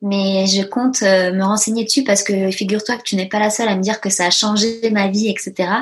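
With noticeable background noise behind her, a woman speaks at a medium pitch and a moderate pace in a monotone, flat intonation, at very even loudness and with hardly any pauses. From grew up partly in a dictatorship abroad, then France. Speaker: business coach for entrepreneurs. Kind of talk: casual interview chat. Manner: hesitant with many fillers.

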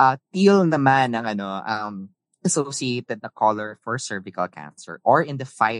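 Fairly slow speech from a man with a Filipino accent, very wide pitch swings, and a dry, close sound with no echo against a quiet background. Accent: Filipino English with Tagalog code-switching. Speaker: podcast host. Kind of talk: casual chat.

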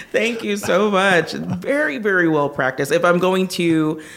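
The voice belongs to a woman. Her pitch is fairly low. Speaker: podcast host, interviewer. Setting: live event interview.

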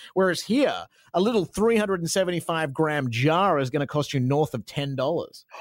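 The man talks fairly quickly, his intonation lively. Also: fairly high pitch for a man. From Australia. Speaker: radio host. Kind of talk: casual interview chat.

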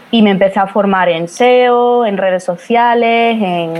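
An unremarkable speaking voice from a woman, medium in pitch and with ordinary pitch variation. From Spain, Badajoz (Extremadura). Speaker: social media marketing strategist. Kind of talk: interview.

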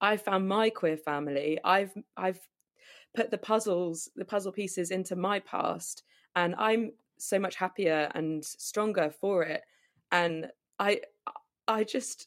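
A woman speaks at a very slow pace, with ordinary pitch variation. Her pauses are long and frequent. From southwest England, Plymouth. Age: 30s. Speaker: podcast host and charity volunteer. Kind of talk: interview.

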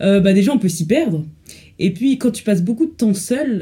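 Her voice is dark and mellow, somewhat breathy, with lively intonation. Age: 20s. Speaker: law student. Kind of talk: casual chat.

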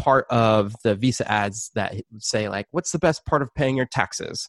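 In a plain, everyday voice, a man speaks at a fairly slow pace with ordinary pitch variation, the sound dry and close with no echo against a quiet background. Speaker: audio engineer. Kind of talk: interview.

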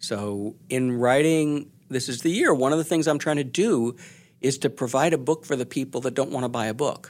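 Speaking at a moderate pace with ordinary pitch variation, a man has a plain, everyday voice at medium pitch, captured in a very clean recording with a silent background. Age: 60s. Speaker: journalist and author. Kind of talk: interview.

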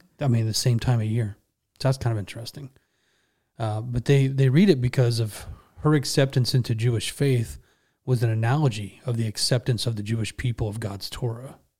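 In a very clean recording with a silent background, a man with an American accent speaks at medium pitch, his dark, mellow tone somewhat breathy and his intonation fairly even. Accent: Southern drawl noted by northerners. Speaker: podcast host. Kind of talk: casual Bible study chat. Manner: fast.

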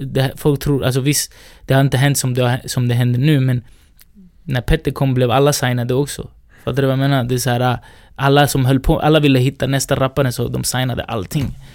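This man talks at a fairly quick pace in a monotone, flat intonation, his pitch medium. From Sweden, Rinkeby (Stockholm). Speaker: hip-hop artist and music entrepreneur. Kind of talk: casual interview.

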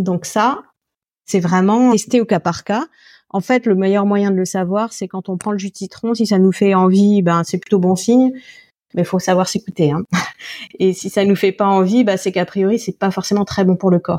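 Dry and close with no echo, the voice has a dark, mellow tone, fairly even intonation, and a moderate pace. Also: woman, medium pitch for a woman. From France, Alsace. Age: 40s. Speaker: naturopath and nutritionist. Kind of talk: interview.

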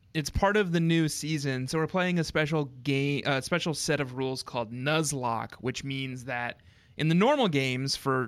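At a moderate pace, a man speaks in an unremarkable speaking voice of medium pitch, with ordinary pitch variation. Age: 30s. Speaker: podcast host. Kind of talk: casual chat. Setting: video call.

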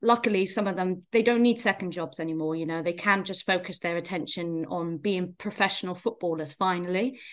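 Against a quiet background, a woman speaks with a Welsh accent at a medium pitch. Her pace is fairly quick, with ordinary pitch variation. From Wales. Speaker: football pundit. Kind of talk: casual chat.

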